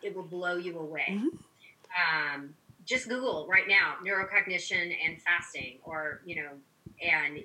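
A woman at a fairly low pitch and fairly slow pace, with noticeable background noise. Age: 50s. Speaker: physician. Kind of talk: interview.

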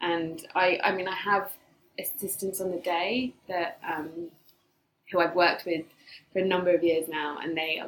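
A woman speaks at a fairly slow pace with fairly low pitch and fairly even intonation. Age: 30s. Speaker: yoga teacher and events founder. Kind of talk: casual chat.

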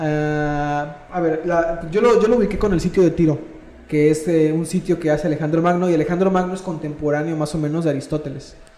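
The speech comes at a fairly quick pace with fairly even intonation, with audible room echo and noticeable background noise. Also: man, fairly high pitch for a man. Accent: Mexican. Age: 20s. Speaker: university student, podcast co-host. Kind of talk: casual chat.

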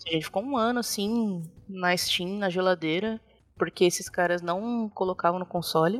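With music in the background, a woman speaks at medium pitch and a moderate pace, with ordinary pitch variation. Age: 30s. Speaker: game artist. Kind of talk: interview. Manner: casual, laughs often.

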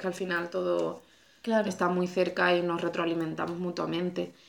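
In a very clean recording with a silent background, a woman with a normal speaking voice talks at a moderate pace and medium pitch. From Andalusia, Spain (Cádiz province). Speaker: podcast host. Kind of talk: casual conversation. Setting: at the guest's home.

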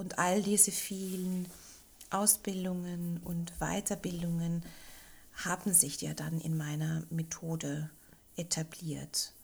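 A woman speaks in a fairly low, somewhat breathy voice with flat, monotone intonation. Her pace is very slow, broken by long, frequent pauses. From Austria, Linz. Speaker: hypnotherapist. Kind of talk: casual interview.

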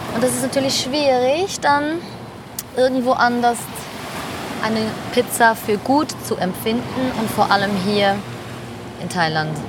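A woman's high-pitched voice with lively intonation at a fairly slow pace, broken by long, frequent pauses, over noticeable background noise. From Switzerland. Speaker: podcast host. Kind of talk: casual chat. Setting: outdoors by the sea on a Thai island.

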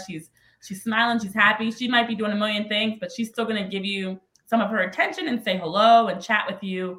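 With an American accent and an ordinary speaking voice, a woman talks at a fairly quick pace, medium pitch and fairly even intonation. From New Jersey / Philadelphia area. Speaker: former soccer player and sports analyst. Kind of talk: casual interview.

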